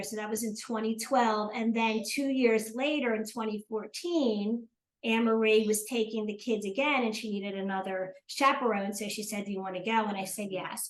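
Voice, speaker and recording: A woman with an American accent, fairly high pitch, fairly even intonation, moderate pace and hardly any pauses. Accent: New Jersey accent, noticed by Southerners. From South Jersey, US. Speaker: retired teacher and accountant, grandmother. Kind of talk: casual interview chat.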